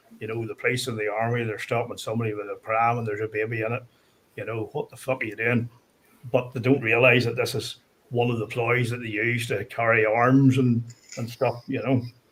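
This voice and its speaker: A man with a Northern Irish accent talks at a fairly quick pace and medium pitch. His intonation is monotone and flat. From Northern Ireland. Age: 50s. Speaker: guest storyteller. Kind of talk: casual chat.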